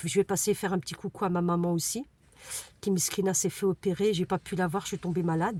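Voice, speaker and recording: A woman talks in a medium pitch. Her voice is somewhat breathy. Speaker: vlogger, single mother. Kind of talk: casual vlog talk to camera. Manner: fast; hesitant, many fillers.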